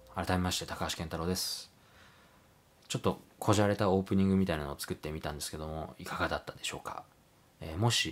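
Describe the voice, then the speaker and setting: A man's very deep, low voice at a very fast pace, with ordinary pitch variation, big swings in loudness and long, frequent pauses. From Japan, moved around incl. Hiroshima, Hokkaido, US, Canada; Japan. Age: 30s. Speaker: photographer. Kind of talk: casual monologue vlog; casual vlog chat, self-introduction. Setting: at home late at night. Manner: polite, hesitant with fillers. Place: home room.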